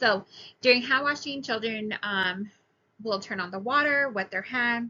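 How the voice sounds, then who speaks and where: Ordinary pitch variation at a moderate pace. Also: woman. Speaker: preschool teacher. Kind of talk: recorded class presentation. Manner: hesitant, many fillers.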